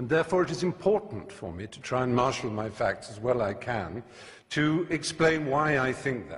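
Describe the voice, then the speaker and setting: Speaking in a passionate tone at a moderate pace, a man with a medium pitch lets his voice swing very widely up and down. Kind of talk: debate speech. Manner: passionate, articulate, emphatic.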